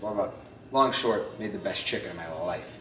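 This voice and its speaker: A man talks in a room with audible echo and light background noise. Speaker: home cook vlogger. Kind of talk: casual cooking tutorial chat. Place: kitchen.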